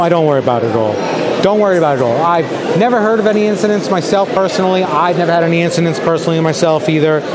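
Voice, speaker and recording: Delivered at a very fast pace with lively intonation, the speech carries audible room echo and noticeable background noise. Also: man, high pitch for a man. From New York. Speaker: travel vlogger. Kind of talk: haggling; live stream walking vlog. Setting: outdoors and in market shops.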